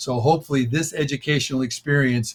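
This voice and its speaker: Somewhat breathy, fairly quick delivery in an American accent, with monotone, flat intonation. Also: man. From United States. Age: 70s. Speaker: author and population speaker. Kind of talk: interview talk. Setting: radio show.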